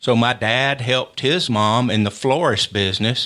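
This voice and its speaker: On a very clean recording with a silent background, a man with a Tennessee accent speaks in a medium pitch with a bright, sharp tone. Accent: Southern US (Tennessee). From Middle Tennessee (Maury County). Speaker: NASA engineer and executive. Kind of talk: interview. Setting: studio.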